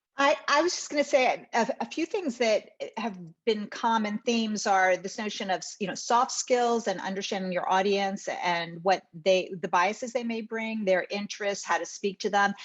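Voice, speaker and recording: In an American accent, a woman with an ordinary speaking voice talks at a moderate pace, her fairly high pitch showing ordinary variation. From northern US. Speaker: lawyer. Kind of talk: panel discussion.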